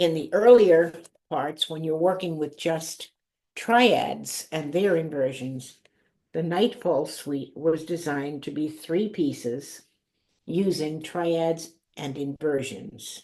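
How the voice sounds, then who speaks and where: Speaking at a very slow pace, a woman uses a very deep, low pitch with a dark, mellow tone and ordinary pitch variation. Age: 80s+. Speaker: harp composer and arranger. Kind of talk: video call interview.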